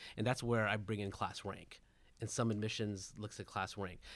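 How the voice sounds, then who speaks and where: Here a man with an American accent and a plain, everyday voice speaks at a fairly low pitch with fairly even intonation. The recording is very clean, with a silent background. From Southern California. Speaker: education consultant and parent. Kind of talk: roundtable discussion.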